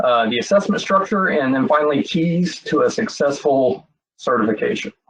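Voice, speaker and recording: A Texas accent at a moderate pace, with very wide pitch swings. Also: man, fairly high pitch for a man. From Texas, Frisco area. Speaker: cybersecurity assessor. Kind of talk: webinar presentation. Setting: online webinar. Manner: many filler words (um, uh).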